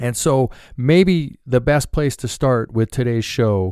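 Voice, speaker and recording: With lively intonation and a medium pitch, a man talks at a fairly slow pace in a very clean recording with a silent background. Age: 50s. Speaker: podcast host, financial services professional. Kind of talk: solo podcast monologue.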